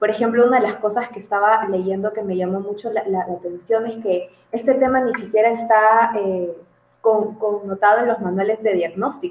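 An ordinary speaking voice from a woman, fairly high in pitch, with fairly even intonation at a moderate pace. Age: 20s. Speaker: psychologist. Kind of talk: casual interview.

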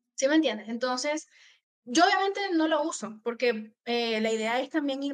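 A woman's high voice at a moderate pace, with ordinary pitch variation. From Venezuela. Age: 20s. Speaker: copywriter. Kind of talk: interview.

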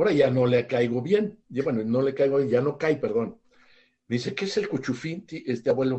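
A somewhat breathy man with a Mexican accent, medium pitch, lively intonation and a moderate pace. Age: 60s. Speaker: author and family educator. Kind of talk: interview on parenting.

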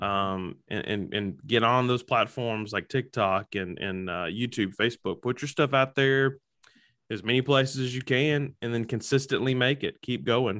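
A man with an American accent speaks in a plain, everyday voice at a medium pitch and moderate pace, with ordinary pitch variation. The recording is very clean, with a silent background. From Alabama, US South. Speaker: comedian and social media content creator. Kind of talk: casual interview chat. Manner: humorous, self-deprecating.

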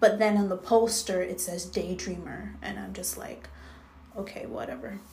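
A woman talks at a moderate speed with fairly level intonation while background noise is clearly audible. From Jamaica. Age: 20s. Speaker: podcast host. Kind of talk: casual solo monologue. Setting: at home. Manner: many filler ums.

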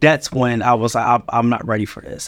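This man has an American accent and speaks very fast. His intonation stays flat and monotone. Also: very clean recording, silent background. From Philadelphia. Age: 30s. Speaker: nonprofit founder. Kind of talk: casual interview.

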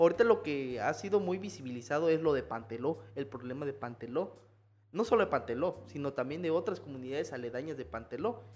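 A man's fairly high voice, fairly quick and with lively intonation. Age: 20s. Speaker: historian. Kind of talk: casual conversational interview. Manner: hesitant, repeats words.

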